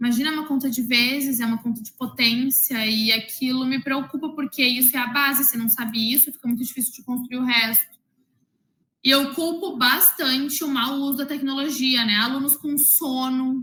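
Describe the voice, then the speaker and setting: A woman's high-pitched voice is raised and projected, bright and sharp in tone, with fairly even intonation. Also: moderate pace. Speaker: math teacher. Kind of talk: interview. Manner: loud.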